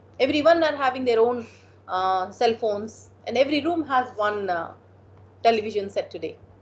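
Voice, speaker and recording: Speaking with an Indian accent, a woman uses a high pitch. Her intonation is lively. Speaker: motivational speaker and counselor. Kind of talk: motivational talk with Q&A. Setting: online video meeting.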